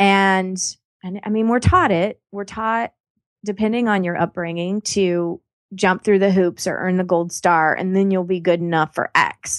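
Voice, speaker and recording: An ordinary speaking voice talks at a fairly slow pace. The sound is dry and close with no echo, over a quiet background. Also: woman, medium pitch for a woman, fairly even intonation. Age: 40s. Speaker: life coach. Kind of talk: casual chat.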